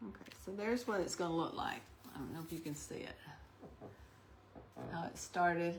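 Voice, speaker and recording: In a room with audible echo, a woman with a fairly low voice and ordinary pitch variation talks at a fairly quick pace, broken by long, frequent pauses. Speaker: craft livestream host. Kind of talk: live demonstration. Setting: online livestream. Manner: gets quiet when concentrating.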